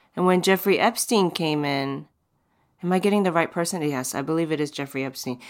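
A woman speaks at a moderate pace. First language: not English. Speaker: podcast host. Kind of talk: casual interview chat. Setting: remote recording from home.

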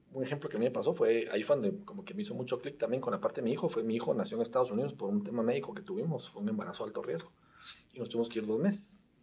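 A man's pitch swings very widely over noticeable background noise. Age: 30s. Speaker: tech startup founder and CEO. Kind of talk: casual interview chat.

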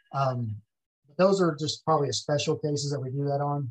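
Somewhat breathy and fairly high-pitched, this man speaks with an American accent. He keeps a moderate pace and fairly even intonation. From Texas, Ellis County. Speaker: former police investigator. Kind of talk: interview.

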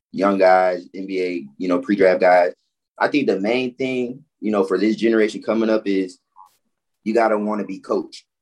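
A man speaks in a normal speaking voice, fairly low in pitch, with fairly even intonation at a moderate pace. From Florida, Orlando and Fort Lauderdale. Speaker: former college and pro basketball player. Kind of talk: casual chat.

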